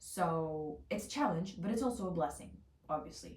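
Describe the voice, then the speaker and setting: Talking at a fairly quick pace, a woman with a medium pitch sounds animated, using ordinary pitch variation amid noticeable background noise and audible room echo. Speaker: lifestyle vlogger. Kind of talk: casual vlog monologue. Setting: home, on bed. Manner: intense, loud; animated, fast.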